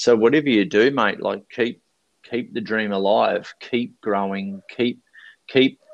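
A man at a medium pitch with an Australian accent, talking at a fairly slow pace. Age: 40s. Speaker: speaker and life coach. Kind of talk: casual interview chat.

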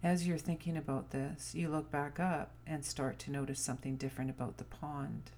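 A woman speaks at a moderate pace. She leaves hardly any pauses. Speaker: spiritual guide leading a meditation. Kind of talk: guided meditation, soothing visualization script read in a calm, inviting tone.

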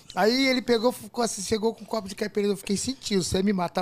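A man speaks at a very fast pace and a high pitch. Noticeable background noise sits behind him. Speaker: party DJ. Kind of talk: casual chat. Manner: animated.

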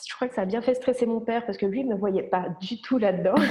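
Fairly even intonation from a woman over noticeable background noise. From France, Ain (Nantua), moved to Switzerland at about 13. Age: 20s. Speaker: medical massage therapist. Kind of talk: casual interview.

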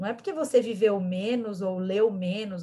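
The voice has a dark, mellow tone and is somewhat breathy. It moves at a fairly slow pace. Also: woman. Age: 20s. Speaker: actress and political activist. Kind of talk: interview.

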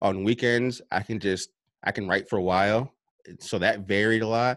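A man with an unremarkable speaking voice speaks in an American accent at a fairly low pitch. His pace is moderate, his pitch variation ordinary, and the recording very clean with a silent background. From upstate New York. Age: 30s. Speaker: self-published author and personal development coach. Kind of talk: interview. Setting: home basement.

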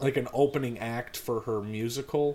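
This is plain reading aloud with ordinary pitch variation.

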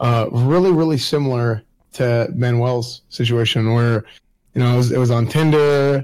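Medium pitch from a man with an unremarkable speaking voice, at a moderate pace, with fairly even intonation and very even loudness. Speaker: streamer. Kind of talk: casual chat.

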